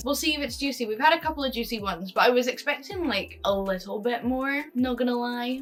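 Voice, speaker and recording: With music behind her, a woman speaks at a fairly quick pace. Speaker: YouTuber. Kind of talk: casual vlog reading viewer confessions.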